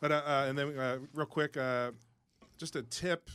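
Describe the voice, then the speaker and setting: A man with a Philadelphia accent. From Delaware County, Pennsylvania. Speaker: chef. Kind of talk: casual chat. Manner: halting.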